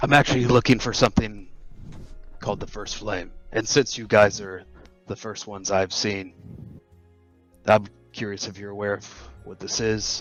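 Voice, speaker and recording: Over faint music in the background, a man puts on a raspy character voice at a fairly low pitch and moderate pace, with long, frequent pauses. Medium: actual play. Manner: casual, blunt.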